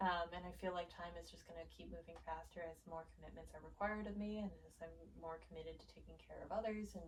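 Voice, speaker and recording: A woman with an American accent rushes along at a very fast pace with hardly any pauses and big swings in loudness, over noticeable background noise. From US East Coast. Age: 20s. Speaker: interviewee, young adult. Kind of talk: casual interview.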